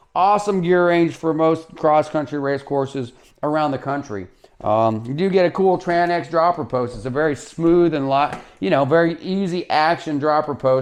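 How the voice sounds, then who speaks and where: A man's unremarkable speaking voice, fairly high pitched, at a fairly quick pace with ordinary pitch variation. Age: 50s. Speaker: bike shop owner and mountain bike reviewer. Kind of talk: product review. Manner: casual, with fillers and false starts.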